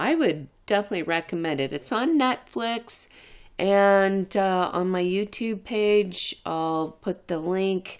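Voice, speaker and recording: Very slowly and at a medium pitch, a woman speaks with lively intonation on a very clean recording with a silent background. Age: 50s. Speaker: podcast host. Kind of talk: solo monologue.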